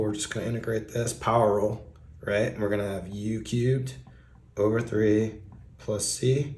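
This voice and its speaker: Audible room echo surrounds a somewhat breathy voice whose intonation stays fairly even. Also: man. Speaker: math tutor on video channel. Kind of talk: tutorial. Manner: casual.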